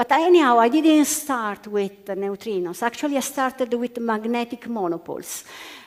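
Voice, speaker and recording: A woman speaks in an Italian accent at a high pitch. Her intonation is lively and her pace moderate. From Italy. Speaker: physicist. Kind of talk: panel discussion. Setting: stage with audience. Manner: halting.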